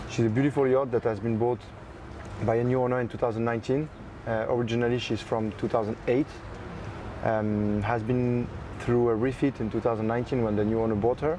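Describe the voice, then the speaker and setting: Speaking in a monotone with a French accent, the voice holds a very even loudness and takes long, frequent pauses over noticeable background noise. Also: man, medium pitch for a man, moderate pace. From France, Paris area. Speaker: yacht broker. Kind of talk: interview. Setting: on board a yacht at a boat show.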